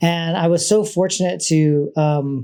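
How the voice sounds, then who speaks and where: Fairly high-pitched, this man keeps his intonation fairly even. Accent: Hawaiian. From Hawaii, Oahu (Waikiki). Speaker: state trails program manager. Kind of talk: panel talk. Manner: loud; halting, many fillers.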